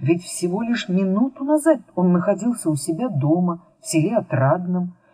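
Reading in an unforced voice, the speaker uses lively intonation.

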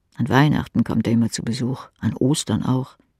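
Speaking at a fairly quick pace, a man has a medium pitch, a slightly mellow tone and a slightly husky edge. The very clean recording has a silent background and a dry, close sound with no echo.

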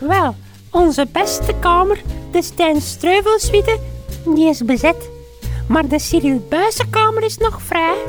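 A woman speaks in a put-on character voice, extremely high-pitched and slow. Her intonation is lively, with faint music in the background.

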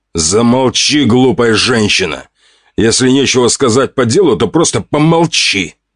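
Putting on a growling character voice, a man speaks at a moderate pace in a medium pitch with lively intonation, the sound dry and close with no echo. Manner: growling, commanding, irritated.

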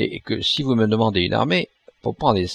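Ordinary pitch variation marks an unforced reading voice over a quiet background.

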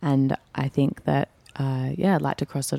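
In a very clean recording with a silent background, a woman speaks with a very deep, low pitch and a dark, mellow tone. The sound is dry and close, with no echo. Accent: Australian. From Perth, Australia. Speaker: actress. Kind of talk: casual interview chat.

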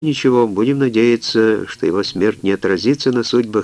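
The pitch varies in an ordinary way across this unforced reading voice.

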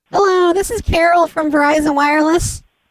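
This put-on character voice is squeaky and extremely high in pitch, moving at a fairly quick pace. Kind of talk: polite, professional.

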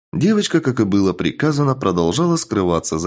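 The passage is read aloud in a natural voice.

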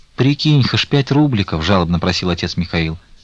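The clip carries a natural reading voice.

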